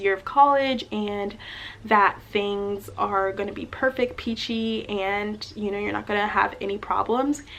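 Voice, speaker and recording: Speaking at a moderate pace, a woman with a plain, everyday voice keeps a medium pitch and fairly even intonation. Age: 20s. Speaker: college student. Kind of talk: casual talk to camera.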